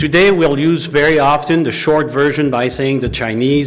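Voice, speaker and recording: A fairly high-pitched man at a moderate pace amid noticeable background noise. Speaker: former intelligence investigator. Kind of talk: public talk.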